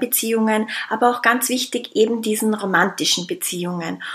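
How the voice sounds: Her tone fairly bright, a woman speaks at medium pitch and a moderate pace with ordinary pitch variation.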